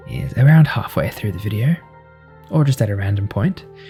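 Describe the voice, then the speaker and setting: Over music in the background, a soft-spoken man talks in a gentle tone. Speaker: sound engineer. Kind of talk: sleep gameplay commentary. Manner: soft-spoken, gentle.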